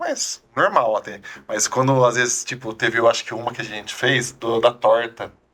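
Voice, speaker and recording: A man's loudness rises and falls in big swings as he talks at a moderate pace. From Brazil, São Carlos (São Paulo interior). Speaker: food influencer. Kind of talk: casual interview chat.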